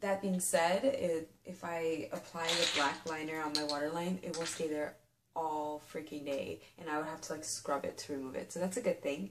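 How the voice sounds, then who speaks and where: A woman talks at a moderate pace with hardly any pauses. Noticeable noise sits in the background. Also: ordinary pitch variation. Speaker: beauty vlogger. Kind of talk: product review. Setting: filmed late at night. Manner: casual, filler-heavy.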